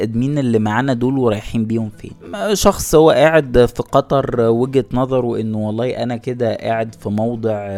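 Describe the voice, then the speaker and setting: A man at a medium pitch and moderate pace, with music in the background. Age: young. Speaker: podcast host. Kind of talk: solo podcast monologue.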